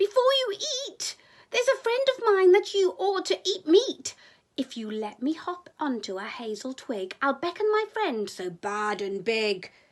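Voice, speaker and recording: A woman puts on a character voice at an extremely high pitch. Her pitch swings very widely against a quiet background. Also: moderate pace. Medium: read story.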